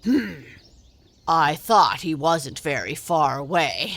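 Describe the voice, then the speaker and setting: A put-on character voice, raspy, croaky and gruff, sits at a middle pitch. The pace is very slow. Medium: read story. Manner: gruff, grunting, croaks "ribbit".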